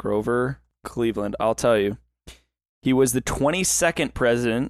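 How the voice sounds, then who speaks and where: A man talks at a moderate pace with medium pitch and ordinary pitch variation in a plain, everyday voice. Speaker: podcast co-host. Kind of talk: casual chat. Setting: online voice call.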